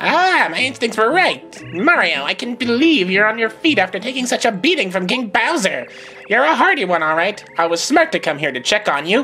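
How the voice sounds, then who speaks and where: Over clear background music, a female-sounding put-on character voice, fairly high in pitch, swings very widely in pitch at a moderate pace. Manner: haughty, taunting.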